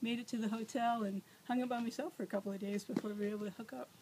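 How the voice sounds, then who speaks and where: A woman speaks at a very fast pace. Her fairly high voice is somewhat breathy. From US South. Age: 40s. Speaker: nurse and former wildland firefighter. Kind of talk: audition interview. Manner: energetic.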